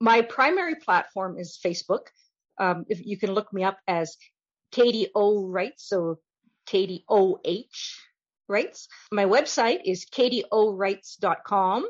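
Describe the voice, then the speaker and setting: This voice has a western Canadian accent. It moves at a fairly slow pace with ordinary pitch variation. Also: woman, medium pitch for a woman. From Canada, northern Alberta. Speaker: romance novelist. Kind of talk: casual interview.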